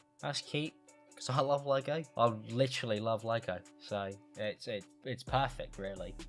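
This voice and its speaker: Faint music sits far back in the mix. A man talks over it at a moderate pace. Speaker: youtuber. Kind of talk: casual vlog chat. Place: home room. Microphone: studio mic.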